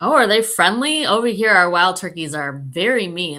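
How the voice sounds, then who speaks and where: A woman with a Southern California accent talks at a moderate pace in a bright, sharp tone with lively intonation. The recording is very clean, with a silent background. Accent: LA, Southern California. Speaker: philanthropy consultant. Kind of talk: casual chat.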